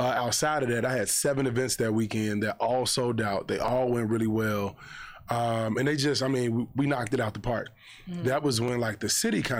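A man talks at a fairly quick pace in an American accent. His pitch sits in the medium range, and his intonation stays fairly even. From Chicago. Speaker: event promoter. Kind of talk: casual interview.

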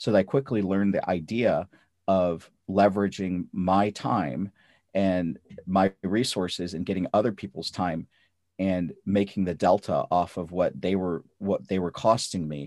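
Against a quiet background, a man's very deep, low voice comes through a dry, close sound with no echo. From North India, raised in St. Louis from childhood. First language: Punjabi/Hindi. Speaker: physician and real estate investor. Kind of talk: podcast interview.

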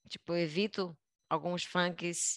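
Very slow speech over a quiet background. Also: woman. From Brazil, Belém (Pará). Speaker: dancer and artistic producer. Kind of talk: interview.

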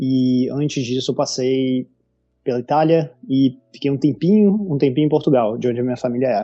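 With a strong Rio de Janeiro accent, a man speaks at a moderate pace and medium pitch, with ordinary pitch variation. Music plays in the background. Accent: strong carioca. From Rio de Janeiro, Brazil. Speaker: designer and content creator. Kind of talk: casual interview chat.

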